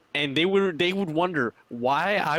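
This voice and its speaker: A man speaks in a bright, sharp tone with ordinary pitch variation, the sound dry and close with no echo. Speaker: gaming podcast member. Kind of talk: casual chat. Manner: fast.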